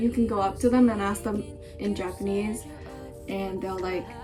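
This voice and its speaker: A woman talks with fairly even intonation at a moderate pace, music playing behind her. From Japan, Singapore and Indonesia. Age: young. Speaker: university student. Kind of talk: casual talk to camera.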